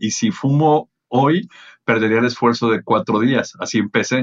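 With pitch that varies in an ordinary way, an ordinary speaking voice proceeds rather slowly. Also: man. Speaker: event producer and motivational speaker. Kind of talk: casual interview.

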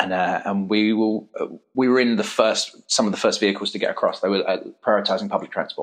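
Fairly quickly, a man talks with an English accent. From England. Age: 30s. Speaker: parkour academy founder. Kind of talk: interview. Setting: at guest's academy.

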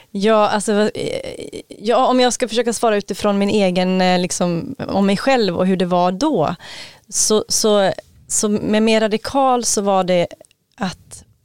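A woman talks with a plain, everyday voice, fairly slow, at medium pitch with ordinary pitch variation and very even loudness, in a dry, close sound with no echo. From Sweden. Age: 40s. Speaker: podcast host. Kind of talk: casual chat.

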